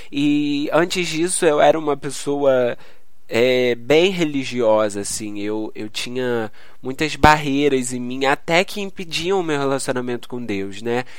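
This man's voice sits fairly high and moves at a fairly slow pace with ordinary pitch variation. Audible room echo surrounds it. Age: 20s. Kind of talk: solo devotional podcast talk. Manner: halting.

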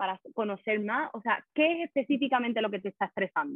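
Her voice sits high in pitch, and this woman's intonation moves in a lively way. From Puerto Rico. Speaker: life coach. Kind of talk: podcast interview.

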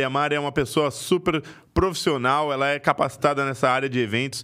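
Here a man talks at a fairly quick pace and a fairly high pitch, his tone bright and sharp. The recording is very clean with a silent background. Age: 20s. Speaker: podcast co-host. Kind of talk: casual chat; sales pitch.

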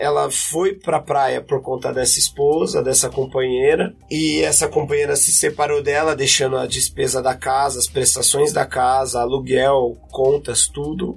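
Against noticeable background noise, a man speaks at a fairly slow pace with hardly any pauses. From São Paulo, Brazil (west zone, Butantã). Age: 30s. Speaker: musician and MC. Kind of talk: interview testimony.

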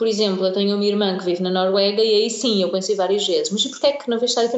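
There is audible room echo and noticeable background noise as a woman speaks at a fairly high pitch. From Portugal, Algarve (Tavira). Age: 20s. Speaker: blogger. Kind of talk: interview. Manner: hesitant, many fillers.

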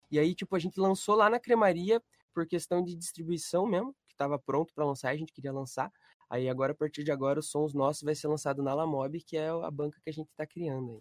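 The sound is dry and close, with no echo, as a man with a fairly high pitch talks at a very fast pace. His loudness swings widely while his pitch varies in an ordinary way. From Brazil, Curitiba. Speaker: independent artist and music producer. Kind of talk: casual chat. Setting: live stream.

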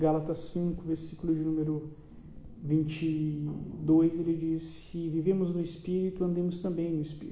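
A man with a Brazilian accent talks in a flat, monotone way. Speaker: preacher. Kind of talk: sermon, preacher in full flow, urgent exhortation and call to repentance. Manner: fervent, emphatic, pleading and rising in intensity.

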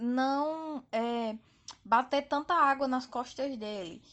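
High-pitched woman's voice against a quiet background. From Northeast Brazil, Campina Grande, Paraíba. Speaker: listener sending a voice message. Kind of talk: recorded voice message, family anecdote.

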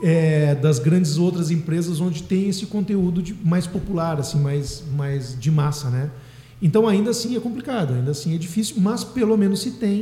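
A man's high-pitched voice with lively intonation, audible room echo and noticeable background noise. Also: moderate pace. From southern Brazil, Dom Pedrito (Rio Grande do Sul). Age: 40s. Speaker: singer-songwriter and music teacher. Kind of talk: radio interview.

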